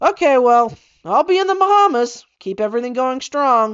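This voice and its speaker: Using a put-on character voice, a woman talks at a moderate pace with a high pitch. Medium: read story. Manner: blunt, unimpressed.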